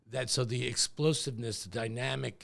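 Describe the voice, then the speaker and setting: A man speaks at a moderate pace with vocal fry and ordinary pitch variation. The recording is very clean, with a silent background. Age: 60s. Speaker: real estate executive. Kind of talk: podcast interview.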